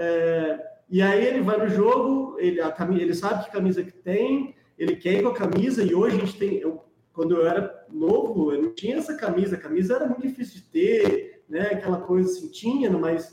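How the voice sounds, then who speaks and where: A man's high-pitched voice, dark and mellow in tone, with lively intonation. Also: moderate pace. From Brazil, Ribeirão Preto (São Paulo state). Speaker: sports business executive. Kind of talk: interview.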